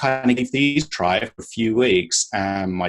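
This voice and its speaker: The speaker has a British accent and lively intonation. The pace is moderate. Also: man. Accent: British accent, noticeable. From UK. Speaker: sleep coach. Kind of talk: interview.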